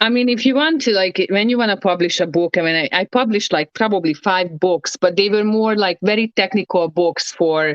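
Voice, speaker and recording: An ordinary speaking voice, a woman's at medium pitch, keeps a fairly quick pace, very even loudness and lively intonation. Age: 30s. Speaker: ex professional wrestler. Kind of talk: casual chat.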